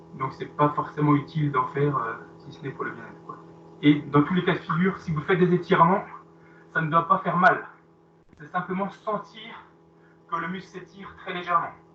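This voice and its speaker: Loudness swings widely, with long, frequent pauses throughout. Background noise is noticeable. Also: man, high pitch for a man, ordinary pitch variation, fairly quick pace. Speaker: fitness coach. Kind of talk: live workout class instruction.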